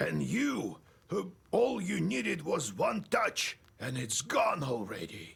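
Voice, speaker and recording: A man speaks in a raspy, put-on character voice at a fairly slow pace. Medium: game stream. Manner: slow, solemn, storytelling.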